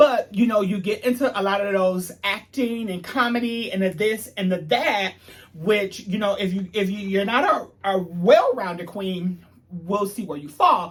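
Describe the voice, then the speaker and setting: Against noticeable background noise, a man with a high voice talks at a moderate pace with ordinary pitch variation. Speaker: TV show reviewer. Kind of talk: casual video review monologue.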